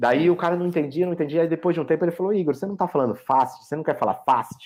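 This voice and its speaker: A man's fairly high voice at a very fast pace. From Brazil. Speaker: software architect. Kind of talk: casual chat. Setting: video call. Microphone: too quiet on one platform.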